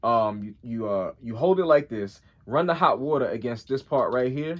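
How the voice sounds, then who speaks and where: Lively in intonation, a man speaks at a medium pitch and a moderate pace. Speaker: YouTuber. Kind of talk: tutorial.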